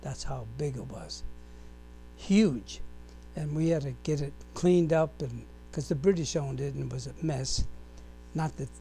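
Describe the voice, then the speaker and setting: At a moderate pace, the speech comes with audible room echo and music in the background. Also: man. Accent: American. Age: 90s. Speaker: war veteran. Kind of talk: oral history interview. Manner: halting.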